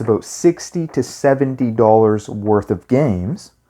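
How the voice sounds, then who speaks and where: Quiet and dark, a man's mellow voice comes through softly. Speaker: retro gaming youtuber. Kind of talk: casual video monologue. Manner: quieter, keeping voice down.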